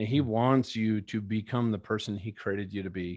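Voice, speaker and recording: A man speaks at a fairly slow pace with a medium pitch and ordinary pitch variation. The recording is very clean, with a silent background. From Minnesota. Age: 50s. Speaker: keynote speaker and former Navy fighter pilot. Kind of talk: interview testimony.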